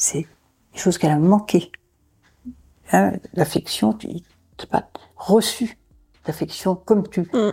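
At a very slow pace with long, frequent pauses, a woman speaks in a medium pitch and dark, mellow tone, showing vocal fry and ordinary pitch variation. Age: 70s. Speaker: foster mother. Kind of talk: testimony. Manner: halting.

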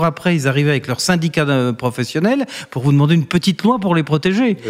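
Lively intonation from a man speaking at a fairly quick pace. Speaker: company director and former politician. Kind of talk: interview. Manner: hesitant, many fillers.

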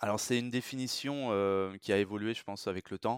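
The background is silent, and the recording is very clean. A man does the talking. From France. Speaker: recruitment manager. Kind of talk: interview. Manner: halting, many repetitions.

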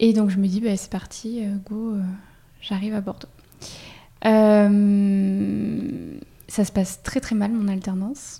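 Speaking at a very slow pace with long, frequent pauses, a woman's somewhat breathy voice carries a dark, mellow tone and monotone, flat intonation. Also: medium pitch for a woman. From France, Auvergne. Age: 30s. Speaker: cosmetics brand co-founder. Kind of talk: interview. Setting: spa.

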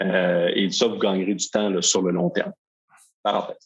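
At a moderate pace, a man talks with a slight Quebec accent. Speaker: software company founder. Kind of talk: interview.

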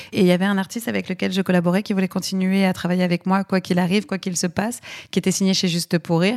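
At a very fast pace, a woman speaks with fairly even intonation and very even loudness, the sound dry and close with no echo. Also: medium pitch for a woman. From Aix-en-Provence, southern France. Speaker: comedy production company head. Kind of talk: podcast interview.

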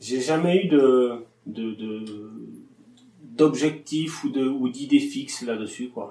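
A man's medium-pitched voice at a very slow pace. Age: 30s. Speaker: livestock farmer. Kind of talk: interview. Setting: farm. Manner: hesitant, many fillers.

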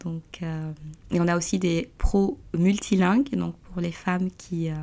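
A woman with a fairly low pitch talks at a very slow pace with fairly even intonation. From Guinea. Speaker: entrepreneur. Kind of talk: interview.

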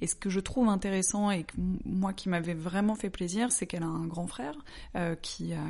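Against a quiet background, a woman talks in an ordinary speaking voice at a medium pitch and moderate pace, with ordinary pitch variation. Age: 30s. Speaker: interviewee sharing personal experience. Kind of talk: personal testimony in interview.

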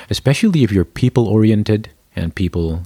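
A somewhat breathy voice at a moderate pace, with ordinary pitch variation, in a dry, close sound with no echo. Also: man. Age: 40s. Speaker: corporate culture lead and coach. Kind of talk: interview.

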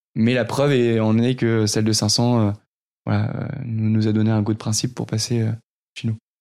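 On a very clean recording with a silent background, a man speaks at a medium pitch and a moderate pace in a flat, monotone way, with very even loudness and long, frequent pauses. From northern France, near Lille. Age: 30s. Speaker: startup founder. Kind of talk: interview. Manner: halting, many repetitions.

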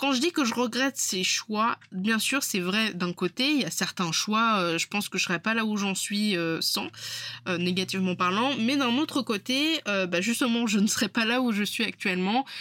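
The sound is dry and close with no echo as a woman speaks at a moderate pace with lively intonation. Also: fairly high pitch for a woman. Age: 20s. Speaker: podcast host, freelance web designer. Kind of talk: solo podcast monologue. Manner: casual, conversational with hesitations.

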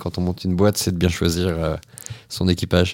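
At a fairly quick pace, a man speaks with a very deep, low pitch and flat, monotone intonation. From western France (Nantes). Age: 30s. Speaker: entrepreneur. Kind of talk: interview. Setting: office.

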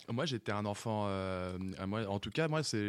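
A man talks at a moderate pace at a fairly low pitch, an ordinary speaking voice. The recording is very clean, with a silent background. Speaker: studio technician and co-producer. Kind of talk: casual radio chat.

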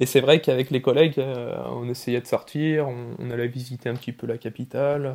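A man's medium-pitched voice keeps fairly even intonation and a moderate pace. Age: 20s. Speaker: rail freight operator. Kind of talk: interview. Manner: halting.

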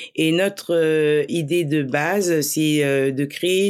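With fairly even intonation, a woman speaks in a very deep, low pitch. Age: 30s. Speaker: social entrepreneur, trained special educator. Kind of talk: casual interview.

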